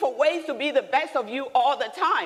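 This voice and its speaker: A woman with a Nigerian accent, animated tone, and moderate pace. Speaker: business leader and speaker. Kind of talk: motivational talk. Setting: stage with audience.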